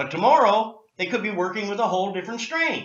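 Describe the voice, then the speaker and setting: A man's raised, projected, high-pitched voice with lively intonation at a fairly quick pace, with audible room echo. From Canada, Nova Scotia. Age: 60s. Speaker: cannabis activist. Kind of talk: interview. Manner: animated.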